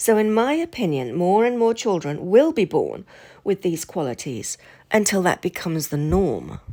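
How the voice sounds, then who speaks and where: Lively intonation marks this woman's medium-pitched voice at a moderate pace. The recording is very clean, with a silent background. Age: 60s. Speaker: channel host, spiritual commentator. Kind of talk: casual monologue to camera. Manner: hesitant, with fillers.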